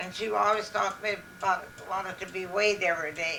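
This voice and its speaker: Noticeable background noise is present. Over it, a woman speaks at a medium pitch. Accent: American. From Minnesota, USA. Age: 80s+. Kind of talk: interview answer. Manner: slow, hesitant.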